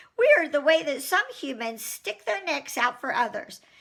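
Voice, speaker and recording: The speed is moderate. A high pitch marks this put-on character voice. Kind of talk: children's book read aloud. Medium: read story. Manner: wry, casual storytelling.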